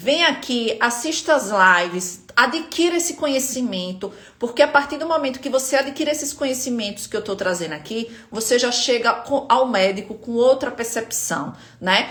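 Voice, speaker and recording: Noticeable background noise sits under this speech in a northeastern Brazilian accent. The intonation is lively and the pace moderate. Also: woman, high pitch for a woman. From Northeast Brazil, Aracaju, Sergipe. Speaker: spine pain health educator. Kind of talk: live stream talk to viewers.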